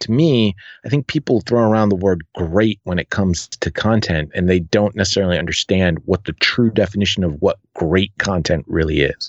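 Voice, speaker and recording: An ordinary speaking voice, a man's, fairly low in pitch and with an American accent, at a moderate pace with ordinary pitch variation and hardly any pauses. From United States. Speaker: podcast producer. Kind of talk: interview. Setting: remote call.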